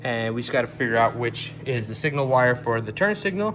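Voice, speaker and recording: A man at a fairly quick pace, with very wide pitch swings and music in the background. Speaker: car enthusiast YouTuber. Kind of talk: casual tutorial vlog. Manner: low energy.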